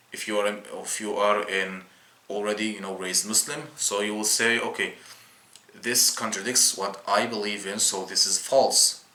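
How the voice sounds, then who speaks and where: Fairly low-pitched man with a non-native accent, fairly even intonation and a moderate pace, amid noticeable background noise. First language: not English. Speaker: YouTuber explaining Islam. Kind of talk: casual video explainer. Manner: halting, many fillers and restarts.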